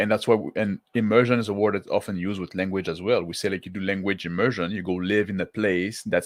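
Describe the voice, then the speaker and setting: Over a quiet background, a man with a French accent and a fairly low pitch talks very fast in a flat monotone, with hardly any pauses. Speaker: tabletop roleplaying YouTuber. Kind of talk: casual livestream talk to chat. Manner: halting, many fillers and restarts.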